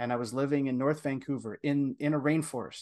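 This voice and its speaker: A man talks at a moderate pace in an unremarkable speaking voice of medium pitch. His intonation stays fairly even, and the background is quiet. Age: 40s. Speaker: men's coach. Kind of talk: interview.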